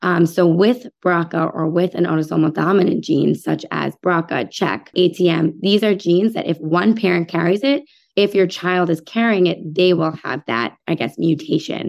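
A woman with a normal speaking voice, fairly low pitch and an American accent, at a moderate pace with ordinary pitch variation and hardly any pauses. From New York City suburbs. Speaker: physician. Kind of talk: interview.

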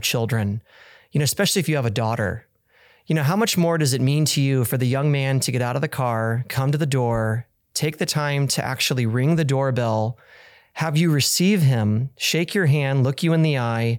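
A man's normal speaking voice with an American accent, medium pitch, ordinary pitch variation, very even loudness and a moderate pace, on a very clean recording with a silent background. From Kansas. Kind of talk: casual chat.

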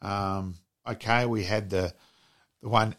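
On a very clean recording with a silent background, someone with an Australian accent speaks with fairly even intonation. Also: man. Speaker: podcast co-host. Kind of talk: casual sports chat. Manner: laid-back, chatty.

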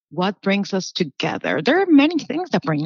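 A woman speaks with a Spanish accent at a moderate pace. The sound is dry and close with no echo, over a quiet background. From Puerto Rico. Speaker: public relations manager. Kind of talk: casual interview.

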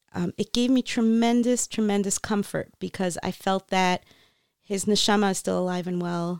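In a very clean recording with a silent background and a dry, close sound with no echo, a woman with an American accent speaks at a moderate pace with fairly even intonation. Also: medium pitch for a woman. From US, Florida. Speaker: patent agent and life coach, author. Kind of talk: interview about grief and faith. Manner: hesitant with frequent ums.

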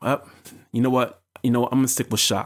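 The speaker is a man. The recording is very clean, with a silent background. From US. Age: 30s. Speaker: podcast host. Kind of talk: solo podcast monologue. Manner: conversational.

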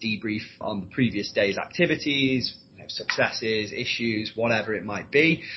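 A medium-pitched man's voice with a Yorkshire accent, at a moderate pace with ordinary pitch variation. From Leeds, northern England. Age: 20s. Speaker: recruitment consultant. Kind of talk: interview.

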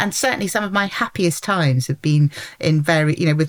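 In a southern English accent, a woman speaks very fast in a very deep, low voice. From London. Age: 50s. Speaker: journalist and entrepreneur. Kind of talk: casual interview chat.

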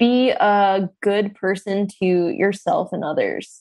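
Speaking at a very slow pace, this is a woman. She has an American accent. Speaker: comedian. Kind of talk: casual chat.

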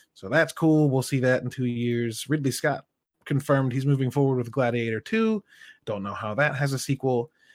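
A man's normal speaking voice at medium pitch, with a dry, close sound and no echo. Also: ordinary pitch variation, moderate pace. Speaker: podcast co-host. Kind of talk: casual chat. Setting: live stream. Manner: casual, joking, uses profanity.

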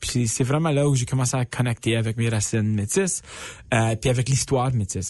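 A man with a somewhat breathy, medium-pitched voice talks at a moderate pace. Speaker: stand-up comedian. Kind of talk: casual interview chat. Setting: radio studio, live on Instagram. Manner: French mixed with English phrases.

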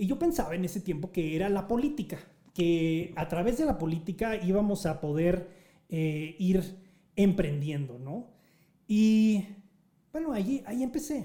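Pausing long and often, a man with a high pitch and a dark, mellow tone speaks at a fairly slow pace with lively intonation. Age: 40s. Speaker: podcast host and nonprofit founder. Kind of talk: live group discussion on social audio. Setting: live online audio room.

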